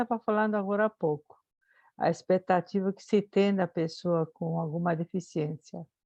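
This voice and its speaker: A woman speaks with a Spanish accent. Her pitch is fairly low, with ordinary pitch variation. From Spain, Madrid. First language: Spanish (speaking Portuguese). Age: 70s. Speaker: psychologist, audience member. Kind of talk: question from audience. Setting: video call. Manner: hesitant, with fillers.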